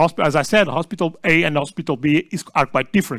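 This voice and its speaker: On a very clean recording with a silent background, a man speaks with lively intonation and a Portuguese accent. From Portugal. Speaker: session chair and research group leader. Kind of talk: conference talk. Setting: small conference room with audience. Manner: halting, many fillers and restarts.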